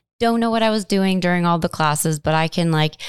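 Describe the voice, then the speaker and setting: The recording is very clean with a silent background, and the sound is dry and close with no echo. A woman speaks with fairly low pitch and ordinary pitch variation. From US Midwest, Cleveland, Ohio. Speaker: actress and entrepreneur. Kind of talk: casual interview. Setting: studio.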